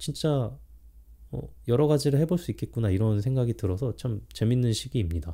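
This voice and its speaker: On a very clean recording with a silent background, a man with a dark, mellow tone and medium pitch speaks at a moderate pace, somewhat breathy and with lively intonation. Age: 40s. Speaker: vlogger. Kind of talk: self-interview monologue. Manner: halting, with many fillers.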